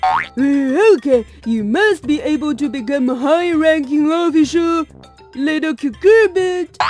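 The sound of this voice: A cartoonish character voice at a fairly slow pace, with faint music and sound effects in the background.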